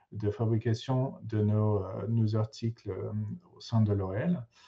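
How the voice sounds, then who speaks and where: A man with an English accent speaks at a very slow pace and a medium pitch. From England. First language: English (speaking French). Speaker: materials engineer. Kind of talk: conference talk. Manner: halting, many fillers.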